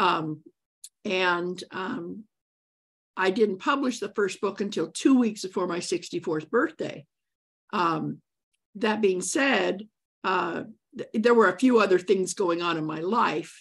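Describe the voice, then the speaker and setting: A woman speaks at a very slow pace with long, frequent pauses and ordinary pitch variation. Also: medium pitch for a woman. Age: 60s. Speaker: author. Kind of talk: interview. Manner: halting.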